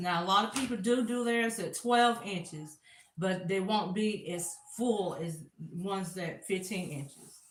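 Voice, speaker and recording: In a room with audible echo, a woman talks in a Southern accent. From US South, South Carolina. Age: 40s. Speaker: crafter. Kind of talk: live craft tutorial. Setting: livestream on camera.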